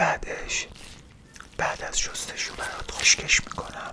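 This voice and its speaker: A woman whispering in a calm tone, with noticeable background noise. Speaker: ASMR creator doing a brain-washing roleplay as a doctor. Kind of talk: ASMR roleplay personal attention, soothing. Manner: soft, calm, slow, reassuring.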